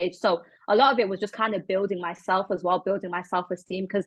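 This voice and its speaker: Speaking at a fairly quick pace, a woman with a British accent has a medium pitch. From England. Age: 20s. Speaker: model and charity founder. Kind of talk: interview. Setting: video call.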